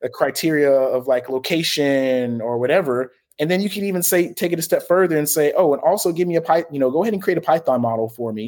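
A man's plain, everyday voice at a fairly quick pace, with ordinary pitch variation, in a very clean recording with a silent background. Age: 20s. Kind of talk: casual chat.

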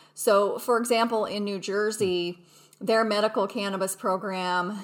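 A woman talks at a moderate pace with an American accent. Her intonation stays flat and monotone. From Utah. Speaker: corporate lawyer. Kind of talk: interview.

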